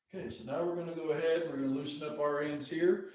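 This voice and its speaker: In a space with audible room echo, a man talks with a fairly high pitch. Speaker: DJ equipment demonstrator. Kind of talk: live stream tutorial. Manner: slow, step-by-step.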